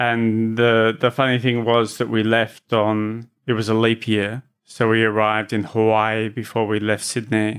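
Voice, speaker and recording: With hardly any pauses, a man at medium pitch speaks fairly slowly in a monotone, flat intonation and very even loudness. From Australia. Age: 40s. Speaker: travel writer. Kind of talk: interview.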